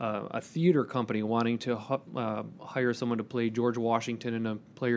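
Fairly quick delivery in a monotone, flat intonation. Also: man. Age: 40s. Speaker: HR executive. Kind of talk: casual chat.

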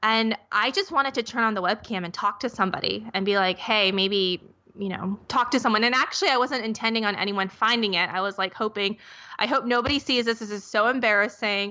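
Speaking with an American accent in an unremarkable speaking voice, a woman talks at a fairly quick pace and fairly high pitch with ordinary pitch variation. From US Midwest (Minnesota). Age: 30s. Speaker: skincare company founder. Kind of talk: interview.

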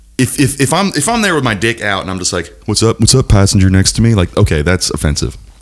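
A man speaks at a very fast pace with hardly any pauses, his tone animated and his intonation lively. Noticeable background noise is present. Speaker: podcast host. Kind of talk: casual comedic banter. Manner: animated, joking.

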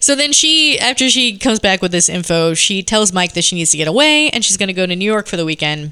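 Over noticeable background noise, a woman with an American accent speaks at a medium pitch and a very fast pace, with hardly any pauses and very wide pitch swings. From Seattle, US Pacific Northwest. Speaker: podcast guest, film discussant. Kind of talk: casual chat with plot recaps. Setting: home basement recording with others at a table.

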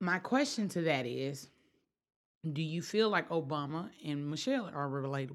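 Speaking with a Memphis accent, a woman uses a fairly low pitch, lively intonation and a moderate pace. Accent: Southern US, Memphis. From US South, Memphis, Tennessee. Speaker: floral designer and blogger. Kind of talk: casual chat.

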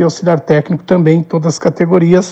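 Somewhat breathy and dark, mellow in tone, a man's voice moves with fairly even intonation. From Brazil, Rio Grande do Sul (Minas do Leão). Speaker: football coach, former player. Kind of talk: interview. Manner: halting, repeats words.

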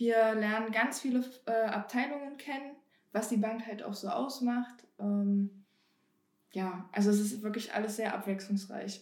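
Fairly high in pitch, a woman uses a normal speaking voice with fairly even intonation. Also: fairly slow pace. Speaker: bank trainee. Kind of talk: casual interview.

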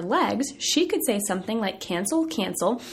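A woman with an American accent speaks at a moderate pace in a fairly high, animated voice with very wide pitch swings. Noticeable background noise runs underneath. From US South, southern Virginia. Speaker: podcast host, dietitian. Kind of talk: casual chat. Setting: office.

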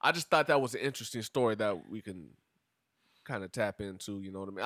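A man talks at a very fast pace in a bright, sharp tone. The recording is very clean with a silent background. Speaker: podcast co-host. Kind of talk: casual chat. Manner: loud.

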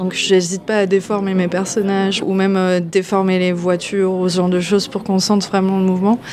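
The delivery has monotone, flat intonation at a moderate pace. Noticeable background noise runs underneath. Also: woman. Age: 30s. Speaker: comic book author. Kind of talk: interview. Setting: comics festival.

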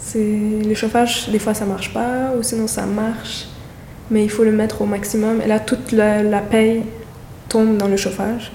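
Slow-paced and fairly high-pitched, a woman speaks in a monotone, flat intonation. Audible room echo and noticeable background noise fill the recording. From Montreal, Côte-des-Neiges. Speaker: neighborhood resident. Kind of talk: interview testimony.

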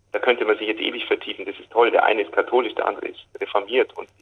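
A man at a very fast pace. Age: young. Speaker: choral conductor. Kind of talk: interview. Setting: phone call. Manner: halting, with many fillers.

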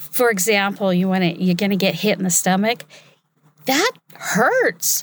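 A woman talks at medium pitch with ordinary pitch variation, recorded very cleanly against a silent background. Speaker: voiceover artist. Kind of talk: talk to an audience. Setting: stage with audience.

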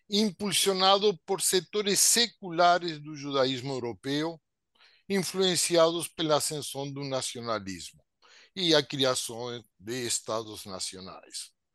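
Against a quiet background, a man with a Spanish accent speaks very slowly in a fairly high, bright, sharp voice with very wide pitch swings. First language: Spanish (speaking Portuguese). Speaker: sociologist. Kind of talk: webinar talk, expository.

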